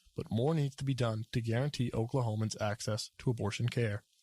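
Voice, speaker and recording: Somewhat breathy and fairly quick, a man's medium-pitched voice keeps fairly even intonation in a very clean recording with a silent background and a dry, close sound with no echo. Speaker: news anchor. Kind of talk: television news anchor delivery.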